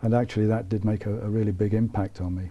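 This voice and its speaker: A somewhat breathy man with a British accent talks at a fairly quick pace in a fairly low, dark and mellow voice with monotone, flat intonation. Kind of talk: interview. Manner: halting, many fillers.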